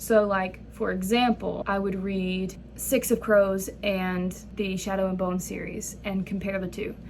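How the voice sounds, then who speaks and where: Audible room echo surrounds a woman speaking at a fairly slow pace. Her medium-pitched voice is monotone, with flat intonation. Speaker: book vlogger. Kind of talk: reading vlog. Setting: student lounge at school, in one segment. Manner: whispering in one segment; casual, filler-heavy.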